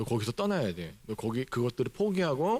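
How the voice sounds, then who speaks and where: At a fairly quick pace, the speaker's pitch swings very widely across a very clean recording with a silent background. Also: man. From South Korea, Jeonju (Jeolla). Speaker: pastor. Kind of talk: sermon. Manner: conversational.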